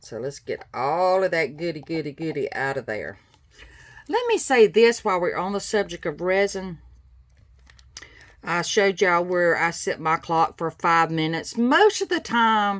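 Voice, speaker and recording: Her pitch is fairly low for a woman. She speaks at a moderate pace. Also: lively intonation. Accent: Southern US. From US South, South Carolina. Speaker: craft tutorial maker. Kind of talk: tutorial. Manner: casual, chatty.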